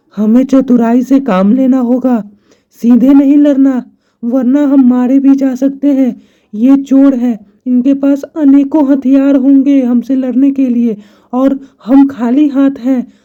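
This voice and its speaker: A high, cartoonish character voice at a fairly slow pace. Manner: earnest.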